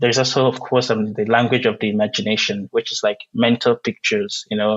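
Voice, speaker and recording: This man speaks at a medium pitch with a Nigerian accent. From southeastern Nigeria. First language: Igbo. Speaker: poet. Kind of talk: interview. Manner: hesitant, many fillers.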